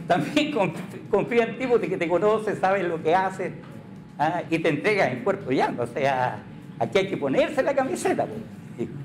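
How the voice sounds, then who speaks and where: Over music in the background, a man with a high pitch and very wide pitch swings talks at a moderate pace. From Valdivia, Chile. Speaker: radio announcer. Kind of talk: casual radio talk show interview. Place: home room.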